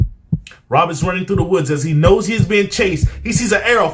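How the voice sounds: The reading voice here is natural. It stays that way from start to finish.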